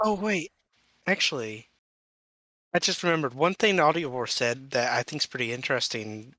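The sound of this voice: With a bright, sharp tone and fairly high pitch, a man talks at a fairly quick pace broken by long, frequent pauses, the sound dry and close with no echo. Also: lively intonation, very clean recording, silent background.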